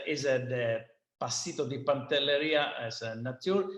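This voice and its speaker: Sicilian accent on a man with a fairly high pitch, fairly slow pace and ordinary pitch variation. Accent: Italian (Sicilian) accent in English. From Sicily, Italy. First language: Italian. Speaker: winemaker. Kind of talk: seminar presentation. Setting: online video seminar. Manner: halting, hesitant non-native English.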